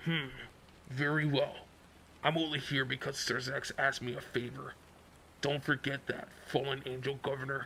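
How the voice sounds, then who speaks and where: A raspy, put-on character voice from a man at a medium pitch, with long, frequent pauses and clear background noise. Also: moderate pace. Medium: read story. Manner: grave, aloof.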